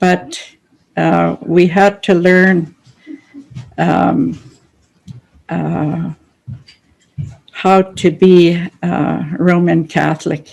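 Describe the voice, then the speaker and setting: The speech moves at a very slow pace with long, frequent pauses. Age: 80s+. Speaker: residential school survivor. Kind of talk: testimony. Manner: halting.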